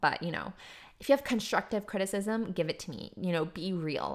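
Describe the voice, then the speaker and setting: On a very clean recording with a silent background, a woman with a fairly low pitch speaks in an upbeat tone with ordinary pitch variation. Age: 20s. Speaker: podcast host, graphic designer and fashion stylist. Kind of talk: casual solo monologue. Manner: rambling, chatty with fillers; upbeat, laughs often.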